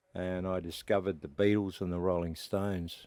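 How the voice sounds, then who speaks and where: Speaking at a fairly slow pace, a man with a very deep, low pitch talks with an Australian accent. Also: very clean recording, silent background. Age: 70s. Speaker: veteran country musician. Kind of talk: casual interview. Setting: inside a tour bus. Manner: halting, with many fillers.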